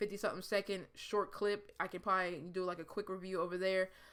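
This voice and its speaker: At a very fast pace, a woman with a medium pitch talks with fairly even intonation on a very clean recording with a silent background. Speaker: YouTuber, movie collector. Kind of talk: casual vlog monologue.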